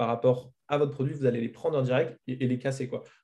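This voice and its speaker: At a fairly quick pace, a man's dark, mellow tone comes through somewhat breathy. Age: 20s. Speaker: marketing agency owner. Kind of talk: interview.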